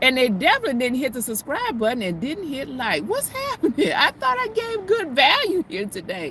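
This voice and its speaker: A woman speaks with a Southern US accent. There is noticeable background noise. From US South, Mississippi. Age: 50s. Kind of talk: casual chat. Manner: halting.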